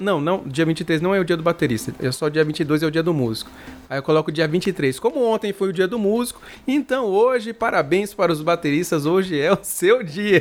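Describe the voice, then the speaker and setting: With music in the background, a man speaks in a high pitch using lively intonation. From Brazil, Mato Grosso do Sul. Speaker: bass player and channel host. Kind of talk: casual interview. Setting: live stream.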